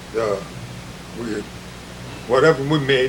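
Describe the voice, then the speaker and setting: A man talks while noticeable noise fills the background. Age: 80s+. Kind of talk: storytelling, casual reminiscence. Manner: rambling, conversational.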